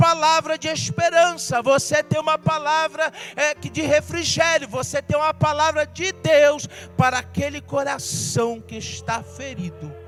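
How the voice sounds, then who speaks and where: A man talks at a fairly slow pace as music plays in the background. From Brazil, Rio de Janeiro. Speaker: pastor. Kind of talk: sermon.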